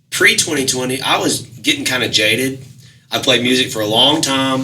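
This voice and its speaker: Amid noticeable background noise and audible room echo, a man speaks at a moderate pace in a medium pitch with ordinary pitch variation. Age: 30s. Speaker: musician. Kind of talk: casual chat.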